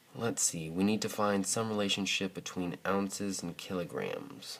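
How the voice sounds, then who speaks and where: A man with a normal speaking voice talks at a fairly slow pace. His pitch is fairly low and his intonation fairly even. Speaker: math teacher. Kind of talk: video lesson tutorial.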